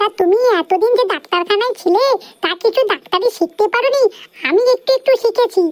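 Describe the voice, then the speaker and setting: A woman does a squeaky cartoonish character voice at an extremely high pitch, with ordinary pitch variation, a moderate pace, very even loudness, and a dry, close sound with no echo. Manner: sharp-tongued, bossy.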